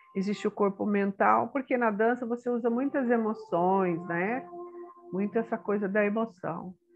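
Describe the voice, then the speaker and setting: Over music in the background, a woman talks at a moderate pace and medium pitch, with ordinary pitch variation. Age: 60s. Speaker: retired teacher and spiritual therapist. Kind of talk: autobiographical talk. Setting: guest on a program. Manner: halting.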